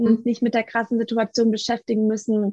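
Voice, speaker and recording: Against a quiet background, a woman with a fairly high pitch talks at a moderate pace, the sound dry and close with no echo. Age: 30s. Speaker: coach and family therapist. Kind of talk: interview.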